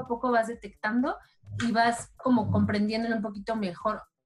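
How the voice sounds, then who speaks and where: A woman's fairly high voice at a fairly quick pace, with music in the background. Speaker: sports journalist. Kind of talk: casual interview.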